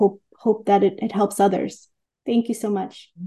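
Against a quiet background, a woman with an American accent speaks at medium pitch in a dark, mellow tone with fairly even intonation. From Queens, New York. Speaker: artist. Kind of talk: interview. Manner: halting, with repeated words.

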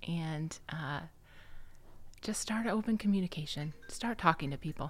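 Very clean recording, silent background, of a woman at a medium pitch with a Midwestern US accent. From Iowa, Quad Cities. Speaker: engineering firm executive. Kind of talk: interview.

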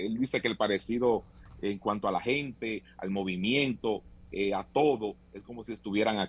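This is a plain, everyday voice with fairly even intonation, delivered at a moderate pace. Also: man, fairly low pitch for a man. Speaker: tour operator. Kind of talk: interview.

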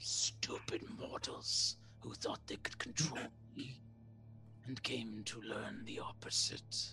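A man whispers in a put-on character voice with a menacing tone. He goes at a fairly slow pace.

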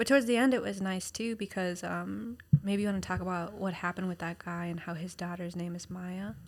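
A plain, everyday voice from a woman, medium-pitched with ordinary pitch variation, at a fairly quick pace with hardly any pauses. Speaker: podcast co-host, caregiver to a child. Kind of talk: casual chat.

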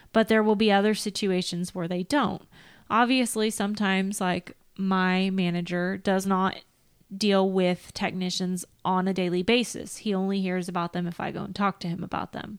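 Over a very clean recording with a silent background, a woman with an American accent speaks at a moderate pace in a monotone, flat intonation. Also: medium pitch for a woman. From Northern California. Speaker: field service manager in the equipment trade. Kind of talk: casual chat. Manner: talkative.

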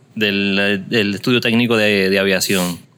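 Here a man speaks in a normal speaking voice. His pitch sits fairly low. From Puerto Rico, Caguas. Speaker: podcast host. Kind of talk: casual interview; podcast intro announcements.

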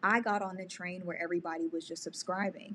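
A woman's plain, everyday voice at medium pitch, with fairly even intonation. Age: 30s. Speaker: YouTuber and podcast coach. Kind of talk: casual interview.

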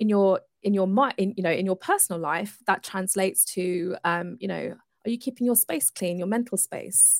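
In an ordinary speaking voice of medium pitch, a woman talks at a moderate pace with ordinary pitch variation, recorded very cleanly with a silent background and a dry, close sound with no echo. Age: 40s. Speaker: entrepreneur and coach. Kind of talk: interview.

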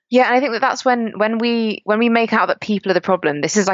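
A woman with an English accent talks at a very fast pace. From England, rural countryside. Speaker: climate justice activist. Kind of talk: interview conversation.

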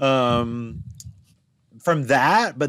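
With an American accent and a plain, everyday voice, a man speaks at a medium pitch with lively intonation on a very clean recording with a silent background. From Appalachian Virginia, US. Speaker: queer coach and podcast guest. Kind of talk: casual interview chat.

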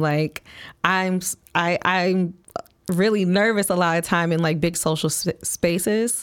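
On a very clean recording with a silent background, a woman with an American accent speaks at a fairly slow pace and fairly low pitch, with fairly even intonation, in an unremarkable speaking voice. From Flint, Michigan, US Midwest. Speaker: event reporter and podcast guest. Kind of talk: casual interview chat.

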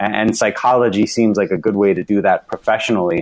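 In a plain, everyday voice with an American accent, the speaker moves at a moderate pace with fairly even intonation. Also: man. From US South, Alabama. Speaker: psychologist and investment firm founder. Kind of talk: interview.

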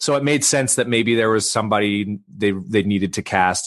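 In an ordinary speaking voice with a Canadian accent, a man talks at a fairly quick pace and a fairly low pitch, with ordinary pitch variation over a quiet background. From western Canada (Vancouver). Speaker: actor. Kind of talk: interview.

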